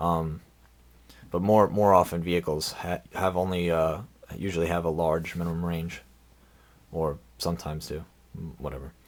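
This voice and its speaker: With a very deep, low pitch, a man talks at a moderate pace and fairly even intonation. Long, frequent pauses break up his speech. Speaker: tabletop game tutorial maker. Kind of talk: tutorial. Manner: halting, many fillers; casual.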